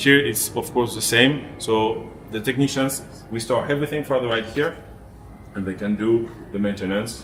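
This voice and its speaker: A man with a French accent speaks at a moderate pace and medium pitch. His intonation stays fairly even. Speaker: theme park engineer. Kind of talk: behind-the-scenes tour explanation. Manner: halting, with frequent hesitations.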